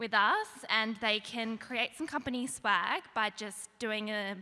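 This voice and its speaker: With an Australian accent, a woman speaks at a fairly high pitch and with fairly even intonation. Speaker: startup founder asking a question. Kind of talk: audience question.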